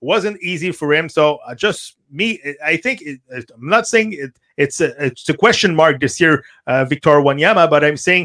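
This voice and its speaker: A man with a bright, sharp tone speaks at a fairly slow pace with ordinary pitch variation, in a dry, close sound with no echo. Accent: Quebec. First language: French. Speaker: soccer radio host. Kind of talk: casual chat. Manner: halting.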